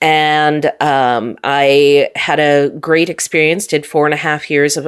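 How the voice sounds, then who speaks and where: Her pitch is very deep and low. The woman talks in an American accent. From US Midwest, Minot, North Dakota. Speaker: scientist and nerd musician. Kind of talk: interview conversation.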